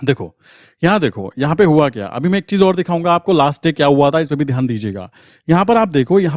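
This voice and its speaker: Very wide pitch swings mark a man's voice, dry and close with no echo, in a very clean recording with a silent background. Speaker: trading educator. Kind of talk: tutorial. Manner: casual, conversational.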